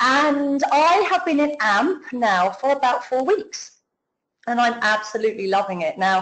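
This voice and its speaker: A woman with a British accent speaks in a high pitch at a fairly slow pace, with an enthusiastic tone. Her pitch swings very widely while her loudness stays very even. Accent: UK. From UK. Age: 40s. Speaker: network marketing affiliate. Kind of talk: business testimony on a webinar. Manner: talkative, enthusiastic.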